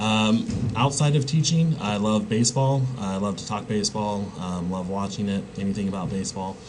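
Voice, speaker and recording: A man's fairly low, fairly quick speech with ordinary pitch variation, amid noticeable background noise and audible room echo. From Kansas, US Midwest. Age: 20s. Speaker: college instructor. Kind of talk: lecture. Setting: recording alone with a webcam. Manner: halting, many fillers.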